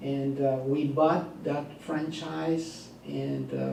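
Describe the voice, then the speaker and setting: A man is speaking. There is audible room echo. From Mexico (Monterrey). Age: 60s. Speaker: business executive. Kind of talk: talk to business audience. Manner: halting, many fillers.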